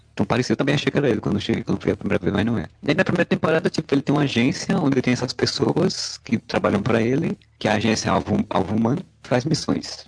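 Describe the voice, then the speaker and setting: Talking very fast with hardly any pauses, a man keeps a medium pitch and lively intonation. His loudness stays very even, the sound is dry and close with no echo, and there is noticeable background noise. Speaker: podcast host. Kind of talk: casual chat.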